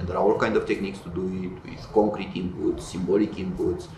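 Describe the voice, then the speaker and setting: Over light background noise and audible room echo, a man talks at a fairly quick pace. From Romania. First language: Romanian. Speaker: tech company founder and computer scientist; interviewee. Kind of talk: interview. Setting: in-person event. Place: office.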